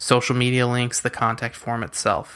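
The speaker is a man with an American accent. His tone is bright and sharp, with monotone, flat intonation. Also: very clean recording, silent background. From US West Coast (San Diego, California). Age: 20s. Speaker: podcast host, freelance web designer. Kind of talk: solo podcast monologue.

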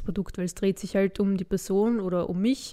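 A woman at medium pitch, a fairly quick pace, and a very clean recording with a silent background. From Austria, Vienna (from age 7; born in Carinthia). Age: 20s. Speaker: blogger and influencer. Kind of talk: interview.

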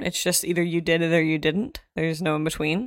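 With an ordinary speaking voice, a woman talks at a moderate pace and a fairly low pitch, in a very clean recording with a silent background and a dry, close sound with no echo. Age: 30s. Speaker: high school English teacher. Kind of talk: casual chat.

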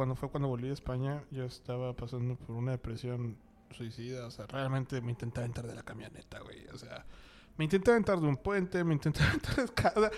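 A man's very fast voice in a Mexican accent, medium in pitch, with ordinary pitch variation and big swings in loudness. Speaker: podcast host. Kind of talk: casual chat.

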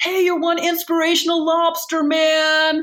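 A put-on character voice at an extremely high pitch delivers flat, monotone intonation at a moderate pace. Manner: shouting, cheering.

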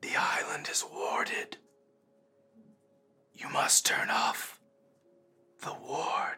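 A man puts on a raspy character voice at an extremely high pitch, speaking very slowly with long, frequent pauses while music plays in the background. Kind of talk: eerie undead voice. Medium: actual play. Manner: halting, terse, long pauses between words.

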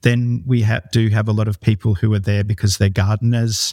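With an Australian accent, a man at fairly low pitch talks at a moderate pace in a monotone, flat, somewhat breathy way. The recording is very clean, dry and close, with no echo and a silent background. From Australia, Northern Rivers, New South Wales. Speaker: company founder. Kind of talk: interview.

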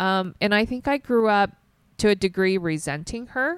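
An ordinary speaking voice from a woman with an American accent, medium-pitched and moderate in pace, on a very clean recording with a silent background. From US South. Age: 40s. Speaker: nonprofit co-founder. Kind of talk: casual interview.

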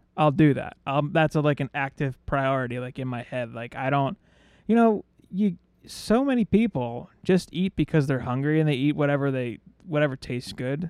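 A man speaks at a moderate pace in an unremarkable speaking voice. The sound is dry and close, with no echo. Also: fairly high pitch for a man, ordinary pitch variation. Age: 30s. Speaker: podcast co-host. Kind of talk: casual chat.

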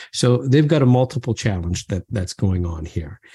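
With a dark, mellow tone, a man speaks somewhat breathily, his pitch swinging very widely at a moderate pace. The sound is dry and close with no echo, against a quiet background. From moved between Canada, Brazil and England as a child. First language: not English. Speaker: business professor. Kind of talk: interview. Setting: podcast interview.

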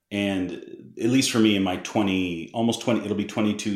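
The speaker has an American accent. Audible room echo is present. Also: man. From US Northeast (Massachusetts). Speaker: missionary. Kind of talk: casual interview.

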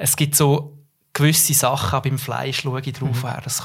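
Speaking at a fairly slow pace, a man with a fairly high voice sounds somewhat breathy and monotone, his intonation flat, on a very clean recording with a silent background. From central Switzerland, Nidwalden. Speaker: communications professional. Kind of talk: casual interview.

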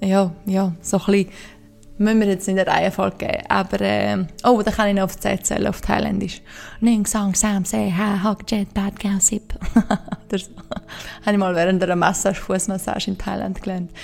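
In a Graubünden accent, a woman speaks at a moderate pace with a medium pitch and monotone, flat intonation over noticeable background noise. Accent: soft Graubünden Swiss German. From Switzerland, Engadin (Graubünden). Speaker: podcast host. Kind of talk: solo Q&A monologue. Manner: halting, many fillers.

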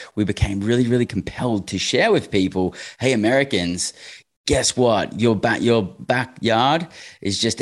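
Against a quiet background, a voice with an Australian accent shows ordinary pitch variation. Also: man. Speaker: real estate investor. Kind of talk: interview.

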